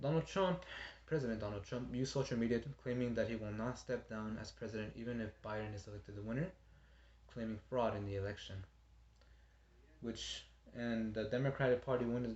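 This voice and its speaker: A man talks very fast in a somewhat breathy voice, his pitch varying in an ordinary way. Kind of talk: informative speech practice. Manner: stuttering, hesitant.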